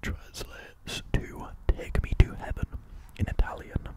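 A soft-spoken man over loud background noise, with a dry sound and no echo. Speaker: content creator. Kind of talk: reading facts with casual commentary. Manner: soft, close-mic ASMR voice. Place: home room. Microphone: studio mic.

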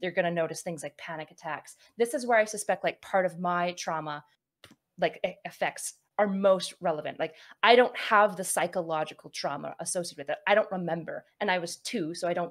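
A woman speaks at a fairly quick pace in a fairly low pitch. Her pitch varies in an ordinary way over a quiet background. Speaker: streamer mediating a dispute. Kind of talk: mediating conversation. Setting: online voice call. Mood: thoughtful, calm. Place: home room. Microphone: studio mic.

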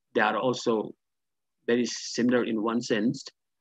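A man's medium-pitched voice has a slightly husky edge and little pitch movement. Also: moderate pace.

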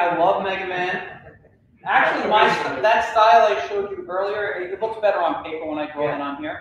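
A man with a high voice and ordinary pitch variation talks at a very fast pace in a room with strong echo and light background noise. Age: 40s. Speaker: cartoonist and art educator; art educator. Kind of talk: workshop lecture. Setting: library workshop room with audience, livestreamed. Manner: casual with many filler words. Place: hall. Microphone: camera far.

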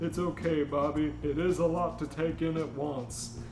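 Over loud background noise, a man puts on a gruff character voice in a fairly high pitch, delivered at a moderate pace. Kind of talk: comic fanfic reading. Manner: gruff, stern.

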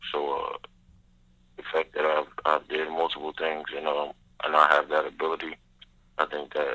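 A man is speaking. His pace is moderate. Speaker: college football player and pro prospect. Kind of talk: interview.

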